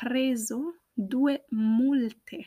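A woman with ordinary pitch variation on a very clean recording with a silent background. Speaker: Italian language teacher podcaster. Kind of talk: language lesson monologue, Italian with English explanations. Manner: slow, deliberate.

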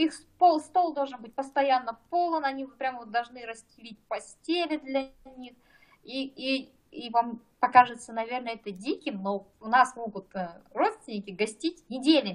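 With lively intonation and big swings in loudness, a woman with a high pitch talks at a moderate pace. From Kazakhstan. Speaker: doctor. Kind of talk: casual chat.

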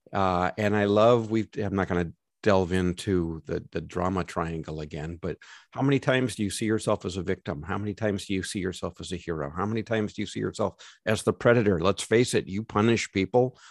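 A man with an American accent has a plain, everyday voice, fairly low in pitch with ordinary pitch variation, recorded dry and close with no echo. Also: fairly quick pace, very clean recording, silent background. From Los Angeles, US. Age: 60s. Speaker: podcast co-host, lawyer and coach. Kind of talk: casual chat.

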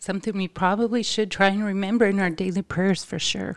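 A woman with a normal speaking voice talks at a medium pitch with fairly even intonation. The recording is very clean, and the background is silent. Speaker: podcast co-host. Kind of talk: casual religious discussion.

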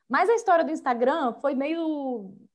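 The intonation is lively and the pace is moderate. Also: woman. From Brazil, São José dos Campos, São Paulo state; mineiro and carioca parents. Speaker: podcast guest, Instagram creator. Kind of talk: casual chat.

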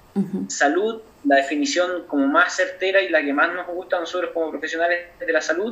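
A man talks with a high pitch and lively intonation. Noticeable background noise runs under his voice. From Chile, Aconcagua Valley (San Felipe). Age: 20s. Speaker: doctor. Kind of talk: interview.

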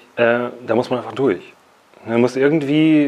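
Over noticeable background noise, a man of medium pitch speaks at a moderate pace. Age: 30s. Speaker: company founder and CEO. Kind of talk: casual interview. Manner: halting, many fillers.

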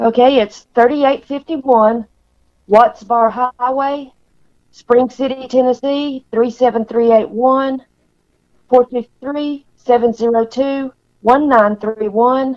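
A woman speaks very slowly in a high pitch with monotone, flat intonation. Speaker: RV park deli staff. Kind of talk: casual interview chat.

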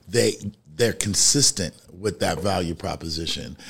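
This man speaks in a New York accent at a moderate pace. His pitch is fairly low, and his intonation is lively. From Bronx, New York. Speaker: podcast co-host, marketing speaker. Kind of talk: casual chat.

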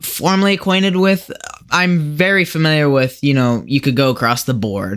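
A man with an American accent talks fairly quickly in an unremarkable speaking voice. His intonation is lively, and the recording is very clean with a silent background. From US Midwest (Lincoln, Nebraska). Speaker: podcast guest with theology interest. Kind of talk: casual interview chat. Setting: home basement, shared mic.

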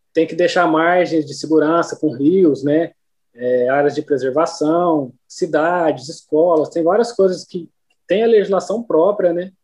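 With a high pitch and ordinary pitch variation, a man speaks at a fairly slow pace. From Brazil, Minas Gerais (Uberlândia). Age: 30s. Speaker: agricultural pilot. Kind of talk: casual interview.

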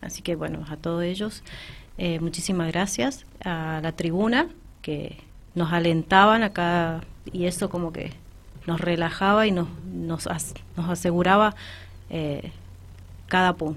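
A woman's fairly low-pitched voice at a fairly slow pace, fairly even intonation and long, frequent pauses. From Argentina, Malargüe (Mendoza). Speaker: amateur newcom player, mother. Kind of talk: radio interview.

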